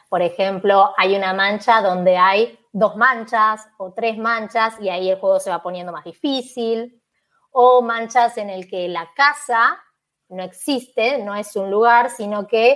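Fairly slow and fairly even in intonation, a woman speaks in an ordinary speaking voice at a fairly high pitch. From Buenos Aires, Argentina. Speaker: Spanish teacher. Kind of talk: casual interview.

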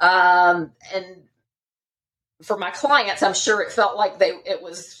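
A woman with a Southern US accent, a fairly slow pace, and very wide pitch swings. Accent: Southern American. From US South, Charlotte, North Carolina. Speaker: divorce attorney. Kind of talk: interview, expert explanation.

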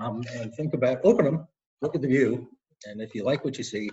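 His voice has a somewhat breathy quality. The man talks at a fairly quick pace. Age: 60s. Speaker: tech company co-founder. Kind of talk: interview. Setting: video call. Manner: halting, many repetitions and fillers.

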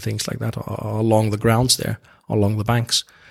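In an Icelandic accent, a man with a fairly low pitch speaks at a moderate pace with monotone, flat intonation. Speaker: golf course architect. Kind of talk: interview. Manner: halting.

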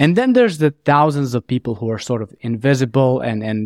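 Captured on a very clean recording with a silent background, a man with a non-native accent speaks with ordinary pitch variation in a dry, close sound with no echo. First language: not English. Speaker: podcast host. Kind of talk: casual interview.

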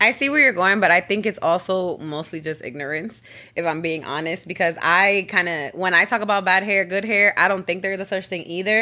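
On a very clean recording with a silent background, a woman with an American accent speaks at a fairly quick pace with hardly any pauses, her medium pitch having a bright, sharp tone and ordinary pitch variation. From Bronx, New York. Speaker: podcast guest. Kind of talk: casual chat.

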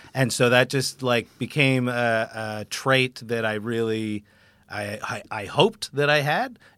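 An unremarkable speaking voice at a moderate pace, with fairly even intonation, on a very clean recording with a silent background. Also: man. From Canada, Vancouver. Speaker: stand-up comedian. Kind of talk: interview.

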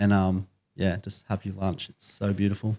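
The recording is very clean, with a silent background. A man speaks in an Australian accent at a fairly low pitch. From Byron Bay, Australia. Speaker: podcast team member. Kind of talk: casual interview.

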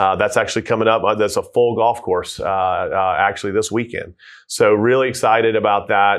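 With a Southern US accent, a man talks at a moderate pace and very even loudness. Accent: Southern US (Georgia). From US South, Georgia (Tucker). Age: 40s. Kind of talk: casual interview.

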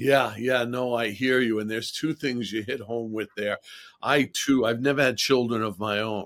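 With an ordinary speaking voice, a man talks at a moderate pace and medium pitch, his intonation fairly even. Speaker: podcast host. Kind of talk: interview.

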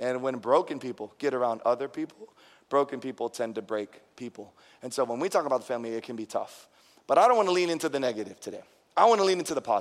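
At a very fast pace, a man speaks with lively intonation and an animated tone. His pitch sits in the medium range. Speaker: pastor. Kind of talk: sermon. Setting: church.

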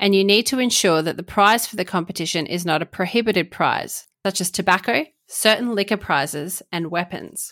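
On a very clean recording with a silent background, a woman with an Australian accent speaks at a moderate pace and medium pitch, her tone bright and sharp and her pitch varying in an ordinary way. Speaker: commercial lawyer and podcast host. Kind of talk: informative solo podcast explainer.

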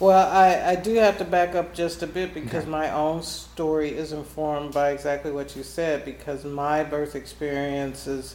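A woman's very deep, low-pitched voice at a moderate pace, with audible room echo. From US Midwest, Kansas City. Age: 50s. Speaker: nonprofit founder and former nurse. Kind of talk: interview.

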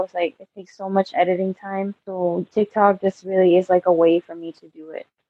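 A woman speaks at a fairly quick pace with a medium pitch. It is a plain, everyday voice. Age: 20s. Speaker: photographer and clothing designer. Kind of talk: interview.

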